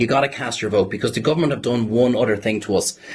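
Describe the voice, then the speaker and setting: A man with an Irish accent talks at a very fast pace in a somewhat breathy voice. His pitch is medium, with ordinary pitch variation. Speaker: campaigner. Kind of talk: press conference speech.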